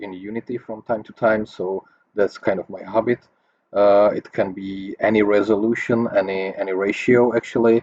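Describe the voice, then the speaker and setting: A man with a non-native accent, fairly low pitch and monotone, flat intonation, at a moderate pace with big swings in loudness. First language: not English. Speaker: 3D graphics tutor. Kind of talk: tutorial. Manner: halting, many fillers.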